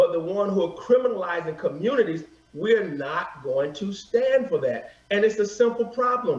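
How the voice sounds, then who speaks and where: A high-voiced man at a moderate pace, lively in intonation, with noticeable background noise. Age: 50s. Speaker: author on police-community relations. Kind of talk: TV interview.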